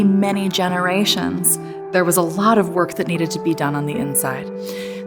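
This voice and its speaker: A woman of medium pitch with music in the background. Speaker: motivational speaker. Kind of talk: motivational keynote talk.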